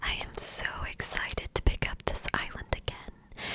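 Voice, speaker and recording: Whispering in a calm, relaxed tone, with noticeable background noise. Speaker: ASMR content creator / gamer. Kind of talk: ASMR gaming commentary, relaxed talk to camera. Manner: calm, relaxed, unhurried; whispered, soft.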